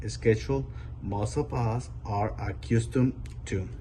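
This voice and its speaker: A man speaks at a fairly slow pace with a fairly low pitch and a dark, mellow tone. His pitch swings very widely, and there is vocal fry. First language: Spanish. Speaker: adult English learner. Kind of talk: prepared speech read aloud.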